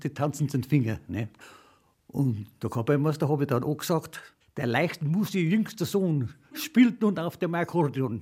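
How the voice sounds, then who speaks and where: This man's voice is fairly high in pitch, with a dark, mellow tone and a somewhat breathy quality. He talks at a moderate pace. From Upper Bavaria, Freising. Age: 90s. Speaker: retired trumpeter and folk musician. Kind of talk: interview. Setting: at home.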